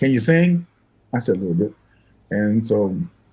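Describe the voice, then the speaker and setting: His tone dark and mellow and somewhat breathy, a man speaks at a fairly quick pace with lively intonation. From US Midwest, Michigan. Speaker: singer and guitarist. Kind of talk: interview storytelling. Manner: fast; animated.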